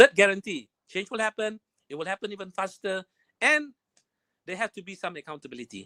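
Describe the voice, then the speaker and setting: A man's high-pitched, raised and projected voice with lively intonation, a fairly quick pace, long, frequent pauses and big swings in loudness, dry and close with no echo. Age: 60s. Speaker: webinar presenter on entrepreneurship. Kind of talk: webinar presentation. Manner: hesitant, with frequent fillers.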